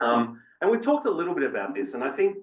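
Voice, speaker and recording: With an Australian accent, a man speaks with very wide pitch swings. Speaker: fitness researcher. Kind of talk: panel presentation.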